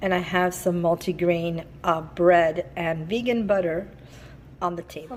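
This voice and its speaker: A woman speaks fairly slowly while noticeable background noise carries on. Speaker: lifestyle vlogger. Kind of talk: cooking vlog.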